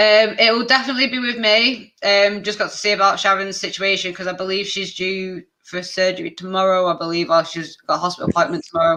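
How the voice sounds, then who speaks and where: A woman rattles along at a very fast pace with hardly any pauses, using a medium pitch, ordinary pitch variation and a bright, sharp tone. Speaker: activist and streamer. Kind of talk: casual chat.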